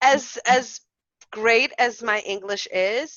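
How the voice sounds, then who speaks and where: Ordinary pitch variation with a Portuguese accent. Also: woman. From Brazil. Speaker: early childhood educator and podcast co-host. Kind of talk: casual chat. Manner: halting.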